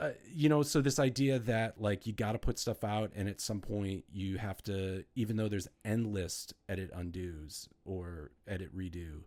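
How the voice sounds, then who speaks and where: A man's fairly low voice, a plain, everyday voice, with ordinary pitch variation at a moderate pace on a very clean recording with a silent background. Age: 40s. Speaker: professor and experimental musician. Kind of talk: casual chat.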